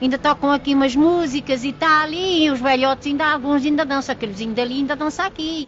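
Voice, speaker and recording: Hardly pausing, a woman with a high pitch talks at a fairly quick pace with fairly even intonation over noticeable background noise. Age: 80s+. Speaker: elderly villager. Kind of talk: casual storytelling.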